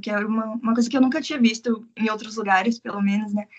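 Fairly high-pitched, somewhat breathy woman's voice in a monotone, flat intonation. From Brazil, Curitiba. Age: 20s. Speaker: English teacher living abroad. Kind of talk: casual interview.

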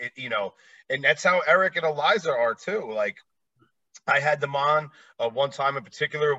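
A bright, sharp tone in an American accent, with lively intonation, a moderate pace and long, frequent pauses. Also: man, fairly high pitch for a man. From New Jersey, near New York City. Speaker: podcast host and former traveling musician. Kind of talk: casual interview chat.

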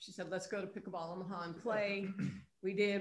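A woman's medium-pitched voice in monotone, flat intonation, with audible room echo. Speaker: pickleball club president, retired PE teacher. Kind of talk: interview.

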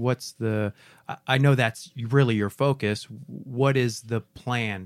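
A plain, everyday voice from a man at medium pitch with ordinary pitch variation, fairly slow pace, very clean recording, silent background, and dry, close sound with no echo. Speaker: podcast host. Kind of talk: casual chat.

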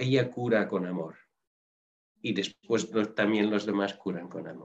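Fairly even in intonation, a man's voice holds a medium pitch. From Netherlands. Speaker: nurse. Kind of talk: interview.

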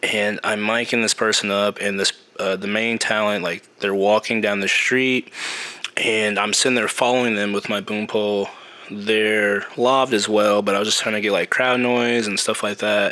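Over noticeable background noise, someone speaks at a moderate pace with an American accent and a monotone, flat intonation. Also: man, fairly low pitch for a man. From US Midwest, Kansas City, Missouri. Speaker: production sound mixer. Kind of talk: casual interview.

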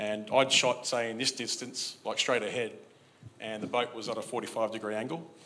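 A man's medium-pitched voice with an Australian accent, a bright, sharp tone, fairly even intonation and a moderate pace, with audible room echo. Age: 40s. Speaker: church member. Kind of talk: testimony. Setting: church. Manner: halting.

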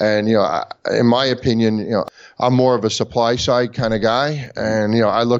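A man of medium pitch at a fairly quick pace, intonation fairly even. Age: 50s. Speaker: company president in bitcoin mining. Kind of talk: interview. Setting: call. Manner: hesitant, many fillers.

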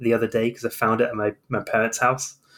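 With a southern English accent, a man speaks at a medium pitch. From southern England. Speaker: medieval historian, podcast co-host. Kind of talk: casual chat.

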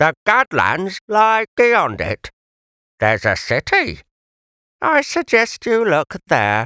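A man's put-on character voice, high in pitch, at a very slow pace with long, frequent pauses, in a dry, close sound with no echo and a very clean recording with a silent background. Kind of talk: old-time variety comedian. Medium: read story. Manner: pompous, petulant, snappish.

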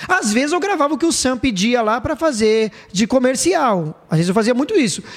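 Noticeable background noise sits behind the recording. A man talks at a fairly quick pace with lively intonation. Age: 30s. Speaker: radio announcer and podcast host. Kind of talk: casual chat.

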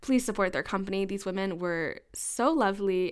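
This woman has a normal speaking voice at medium pitch and a moderate pace. The recording is very clean, with a silent background. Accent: American. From United States. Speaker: podcast host. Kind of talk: interview conversation. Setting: home basement recording.

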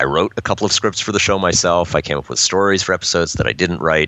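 A man is talking with an American accent. There is noticeable background noise. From New York. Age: 40s. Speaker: crime fiction writer and publisher. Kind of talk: interview.

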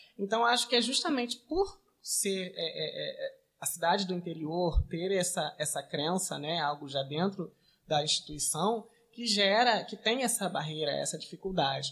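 At a fairly slow pace, a man with a high voice speaks with ordinary pitch variation. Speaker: local news journalist. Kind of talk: casual interview chat.

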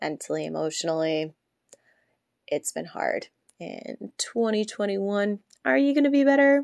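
Speaking at a fairly slow pace with long, frequent pauses, a woman comes through dry and close with no echo. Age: 30s. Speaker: podcast host. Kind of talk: solo monologue. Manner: hesitant, many fillers.

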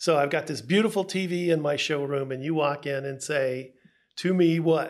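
A man with a plain, everyday voice and an American accent, fairly high in pitch, at a moderate pace with ordinary pitch variation. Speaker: radio podcast host. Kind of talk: podcast hosting, interview. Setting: studio.

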